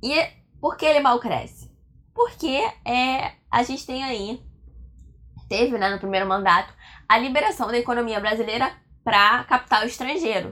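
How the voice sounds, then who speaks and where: At a moderate pace, a woman with a high pitch, a bright, sharp tone and an animated tone speaks with lively intonation and long, frequent pauses. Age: 20s. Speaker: history teacher. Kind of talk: lecture.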